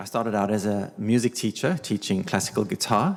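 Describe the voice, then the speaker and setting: With a South African accent, a man talks at a fairly quick pace and a fairly low pitch. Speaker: learning designer. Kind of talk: panel presentation.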